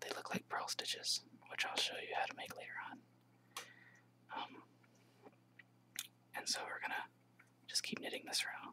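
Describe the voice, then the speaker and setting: There is noticeable background noise. A man is whispering at a moderate pace. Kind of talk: instructional tutorial. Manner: whispering, soft-spoken.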